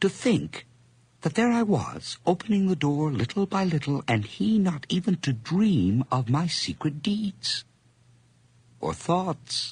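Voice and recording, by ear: Using a put-on character voice, the speaker goes slowly, with big pitch swings, a slightly mellow tone and a husky, rough edge. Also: man, fairly high pitch for a man.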